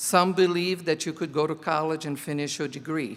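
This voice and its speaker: A man speaks with a Portuguese accent. His pitch is fairly high. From Brazil. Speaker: teacher. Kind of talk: commencement speech. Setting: graduation ceremony.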